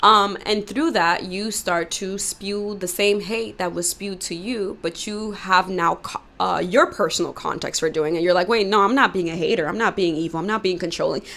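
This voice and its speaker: A woman talks at a moderate pace with hardly any pauses. Her medium pitch shows ordinary variation over noticeable background noise. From New York, Dominican family. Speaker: YouTuber. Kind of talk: commentary monologue. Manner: loud tendency; casual, many fillers.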